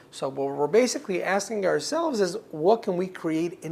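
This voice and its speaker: A man's lively intonation at a moderate pace, with a slight Israeli accent. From Israel, Ashkelon in the south. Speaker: director of a community foundation. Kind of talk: interview.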